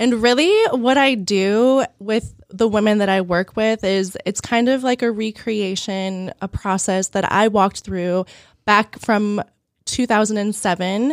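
A woman with a plain, everyday voice speaks at a fairly slow pace, fairly high in pitch with ordinary variation. The recording is very clean and dry, close with no echo over a silent background. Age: 40s. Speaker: holistic health coach and podcaster. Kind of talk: casual interview chat.

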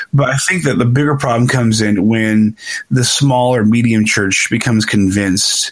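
Moderately paced speech from a man, medium in pitch with ordinary pitch variation, against noticeable background noise. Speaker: podcast host. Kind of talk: casual chat.

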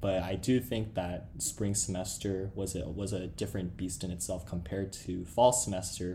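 A man's very deep, low voice in a West Coast American accent, dark and mellow in tone and somewhat breathy, with fairly even intonation at a moderate pace, plus audible room echo. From Los Angeles, US. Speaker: law student podcast co-host. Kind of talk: casual chat.

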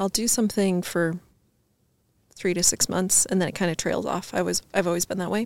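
A woman with an unremarkable speaking voice talks at a fairly quick pace, medium pitch and fairly even intonation, in a dry, close sound with no echo on a very clean recording with a silent background. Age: 30s. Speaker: entrepreneur and fashion designer. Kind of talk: casual chat.

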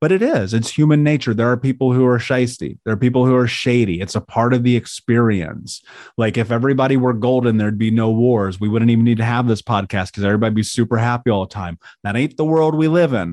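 Speaking very fast with an American accent, a man keeps a medium pitch and ordinary pitch variation. The sound is dry and close with no echo, over a quiet background. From US Midwest, Indianapolis. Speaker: life coach and author. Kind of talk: interview. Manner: animated.

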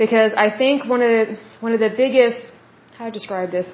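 Noticeable background noise sits behind a woman speaking with an American accent. Her fairly high pitch keeps a fairly even intonation. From Oklahoma, US. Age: 30s. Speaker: podcast host. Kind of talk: solo podcast monologue, reading info and giving opinions. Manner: conversational, casual.

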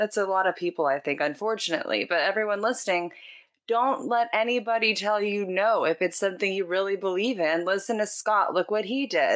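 A woman with an ordinary speaking voice talks at a fairly quick pace, her pitch medium and its variation ordinary. Her loudness stays very even in a very clean recording with a silent background. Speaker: podcast host. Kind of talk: interview conversation.

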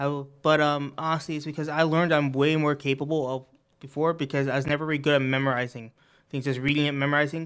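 Fairly high in pitch and flat in intonation, a man's monotone voice comes through on a very clean recording with a silent background. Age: 20s. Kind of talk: casual chat. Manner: halting.

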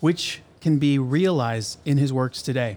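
With an ordinary speaking voice, this man keeps a fairly high pitch and fairly even intonation. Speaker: podcast host. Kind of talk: casual interview. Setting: studio.

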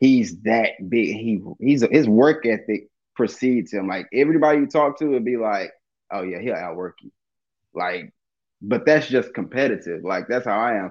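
A man with an American accent speaks at a moderate pace and a medium pitch, in a plain, everyday voice. His pitch varies in an ordinary way, and the background is quiet. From Dallas, Texas. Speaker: stand-up comedian. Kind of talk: casual interview chat.

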